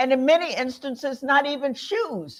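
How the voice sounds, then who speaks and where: A woman with a Tennessee accent speaks in a high voice. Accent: Southern, sounds like Tennessee. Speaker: panel speaker at a history program. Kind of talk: public talk. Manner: hesitant fillers.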